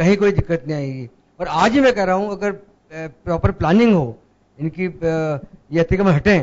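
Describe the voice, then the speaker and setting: A man speaks at a high pitch. His intonation is lively and his pace moderate. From Jaipur, India. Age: 60s. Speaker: panel guest. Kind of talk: TV panel discussion.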